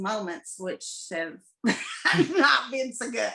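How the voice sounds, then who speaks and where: A woman's fairly high voice, fairly slow in pace, with lively intonation. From Kentucky. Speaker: psychic medium and small business owner. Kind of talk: casual interview.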